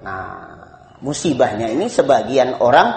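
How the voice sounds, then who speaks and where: A man talks fairly slowly in a room with audible echo and noticeable background noise. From Indonesia. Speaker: Islamic preacher. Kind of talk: religious study lecture. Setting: evening study gathering.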